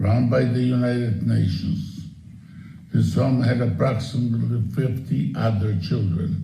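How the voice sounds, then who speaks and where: Lively intonation runs through this man's speech, and audible room echo surrounds it. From Ukraine. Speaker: Holocaust survivor. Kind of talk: testimony.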